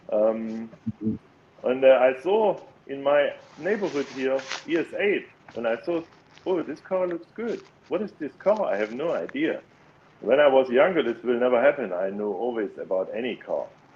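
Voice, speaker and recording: A man speaks with a German accent at a moderate pace. His speech has long, frequent pauses. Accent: non-native English, German. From Germany. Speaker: engineer and electric car owner. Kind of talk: casual podcast interview. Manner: halting, many fillers.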